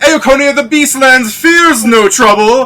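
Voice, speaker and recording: In a put-on character voice, a man speaks shrilly at an extremely high pitch and a fairly slow pace. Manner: over the top.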